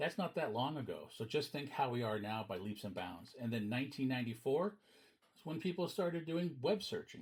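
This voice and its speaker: Fairly quick and marked by vocal fry, this voice makes very wide pitch swings and big shifts in loudness. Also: man, fairly high pitch for a man. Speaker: teacher. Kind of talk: lecture.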